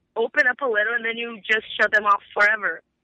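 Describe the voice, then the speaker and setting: This woman speaks with a Brazilian accent. Her pitch is fairly high and her pace moderate. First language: Portuguese. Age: 20s. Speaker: caller. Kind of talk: casual chat.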